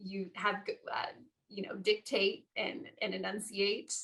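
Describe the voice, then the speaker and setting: A woman's bright, sharp voice at medium pitch and a fairly slow pace. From Las Vegas. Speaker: former TV news anchor. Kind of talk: interview. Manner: enunciating.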